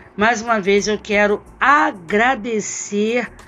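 A woman at a medium pitch, very slow pace and fairly even intonation, over noticeable background noise. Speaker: HR consultant and career mentor. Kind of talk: solo podcast talk.

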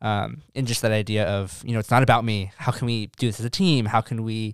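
A man with a plain, everyday voice and a medium pitch talks at a fairly quick pace in a very clean, dry, close recording with a silent background and no echo. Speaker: podcast co-host. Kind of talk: casual podcast chat.

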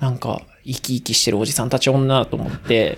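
A man talks in an ordinary speaking voice at a moderate pace. His pitch variation is ordinary. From Aichi, Kasugai (near Nagoya), Japan. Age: 30s. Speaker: trail runner. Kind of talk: casual chat.

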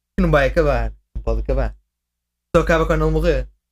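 Speaking at a fairly quick pace, a man with a very deep, low pitch sounds somewhat breathy, his intonation monotone and flat. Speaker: video game fan guest. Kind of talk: casual chat.

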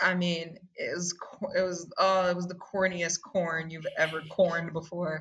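In an American accent, a woman speaks at a fairly slow pace with a fairly low pitch and monotone, flat intonation. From Hartford, Connecticut, US. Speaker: poet and artist. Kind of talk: casual interview.

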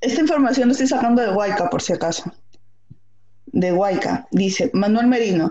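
Using a normal speaking voice, a woman talks at a moderate pace with fairly high pitch and lively intonation. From Peru. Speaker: podcast co-host. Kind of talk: casual chat.

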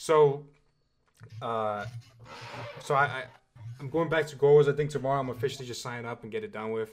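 A man's medium-pitched voice at a fairly quick pace, with ordinary pitch variation, big swings in loudness and long, frequent pauses. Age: 20s. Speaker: podcast co-host. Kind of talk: casual chat. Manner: animated.

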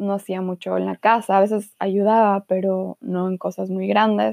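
At a moderate pace, a woman of medium pitch speaks in a monotone, flat intonation. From Ecuador, Guayaquil. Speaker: podcast host. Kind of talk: casual chat.

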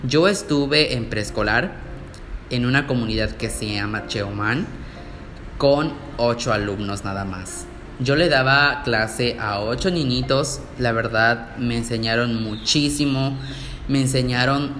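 Over music in the background and audible room echo, a man speaks very slowly at medium pitch with ordinary pitch variation. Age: 20s. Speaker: podcaster, nursing student. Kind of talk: casual monologue.

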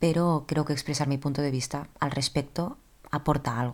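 The woman's pitch is very deep and low, her intonation fairly even. She keeps a moderate pace. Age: 20s. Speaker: podcast host. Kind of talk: solo personal monologue.

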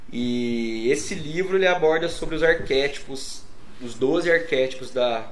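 Room echo is audible as a man talks at a medium pitch. His pitch varies in an ordinary way. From Minas Gerais, Brazil. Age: 30s. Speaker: burger restaurant co-owner, advertising professional. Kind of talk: casual interview chat.

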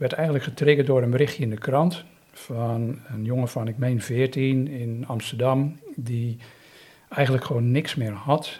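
A man speaks with a medium pitch and a dark, mellow tone. His voice is somewhat breathy. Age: 50s. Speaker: volunteer youth mentor. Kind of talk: interview. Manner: halting.

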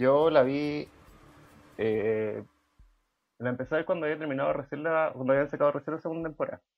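A man's fairly high pitch with a Chilean accent, a fairly quick pace, and long, frequent pauses. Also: ordinary pitch variation. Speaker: podcast co-host. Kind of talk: casual chat. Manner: speaking quietly.

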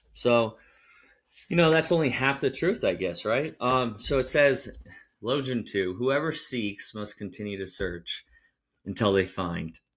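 Here a man speaks at a fairly slow pace. His pitch is medium. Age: 30s. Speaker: podcast host. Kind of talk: solo monologue podcast. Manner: halting, many restarts.

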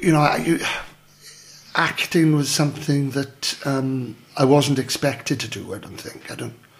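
Over noticeable background noise, a man with a fairly high pitch speaks in a South Wales Valleys accent, with ordinary pitch variation and big swings in loudness. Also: fairly slow pace. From Wales, south Wales valleys (Merthyr area). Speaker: actor. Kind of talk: casual chat.

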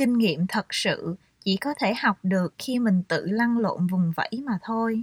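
A woman's fairly high, somewhat breathy voice moves at a fairly slow pace with lively intonation, the sound dry and close with no echo on a very clean recording with a silent background. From Vietnam, Saigon. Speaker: author. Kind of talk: reading aloud.

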